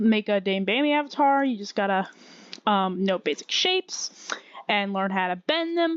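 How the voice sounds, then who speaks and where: Speaking at a fairly slow pace, a woman with a fairly high pitch uses lively intonation in a dry, close sound with no echo. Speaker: Blender tutorial maker. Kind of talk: tutorial. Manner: halting, many fillers and restarts.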